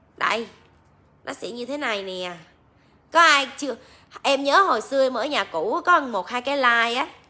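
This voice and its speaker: A raised, projected voice with a bright, sharp tone moves at a fairly slow pace, its intonation lively and broken by long, frequent pauses. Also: woman, high pitch for a woman. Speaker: livestream seller. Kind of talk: casual livestream chat. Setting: live stream online. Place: shop. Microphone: phone near.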